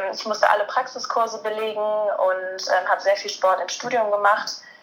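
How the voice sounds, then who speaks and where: A woman's ordinary speaking voice, fairly high in pitch, with fairly even intonation. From Germany, Cologne area. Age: 20s. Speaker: master's student and sports journalist. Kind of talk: interview.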